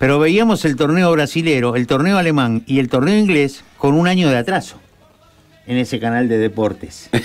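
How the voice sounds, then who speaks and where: Over faint music in the background, a man speaks at a fairly high pitch and a moderate pace with very even loudness. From Argentina. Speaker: radio sports host. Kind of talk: casual radio chat. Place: studio. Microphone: studio mic.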